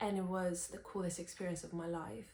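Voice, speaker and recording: Audible room echo surrounds a somewhat breathy woman speaking at a medium pitch. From Romania. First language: Romanian. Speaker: singer-songwriter and vlogger. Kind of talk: personal vlog talking to camera.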